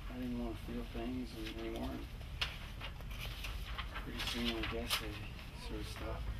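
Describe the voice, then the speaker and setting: A man talks at a moderate pace with long, frequent pauses. Loud background noise runs underneath. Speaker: actor playing a male love interest. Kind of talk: dramatic script reading. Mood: quiet, confessional, subdued. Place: shop.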